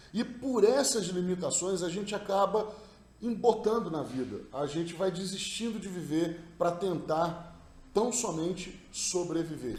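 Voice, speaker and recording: With noticeable background noise and audible room echo, a man in a Rio de Janeiro accent talks at a fairly slow pace in a high pitch. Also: ordinary pitch variation. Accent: carioca (Rio de Janeiro). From Rio de Janeiro, Brazil. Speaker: NLP practitioner. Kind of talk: recorded talk / study summary.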